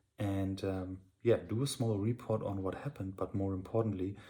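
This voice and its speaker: Quiet and somewhat breathy, a man speaks at a fairly quick pace and a fairly low pitch, his tone dark and mellow and his intonation fairly even. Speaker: solo software founder and video blogger. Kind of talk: casual video diary. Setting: at home at night. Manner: quiet, subdued.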